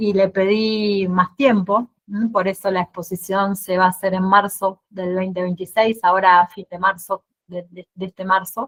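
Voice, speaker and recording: A woman's medium-pitched, monotone, flat voice at a fairly slow pace with hardly any pauses, in a dry, close sound with no echo. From Argentina, Santa Fe. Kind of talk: casual Q&A at virtual exhibition opening. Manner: halting, many repetitions and fillers.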